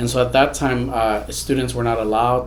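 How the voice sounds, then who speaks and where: Noticeable background noise and audible room echo are both present. The speaker is a man with an American accent. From Houston, Texas. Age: 30s. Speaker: immigrant rights advocate. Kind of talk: interview.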